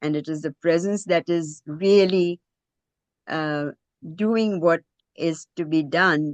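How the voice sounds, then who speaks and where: The speech moves at a very slow pace with fairly even intonation. The sound is dry and close, with no echo. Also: woman. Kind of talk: presentation. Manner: hesitant, many fillers.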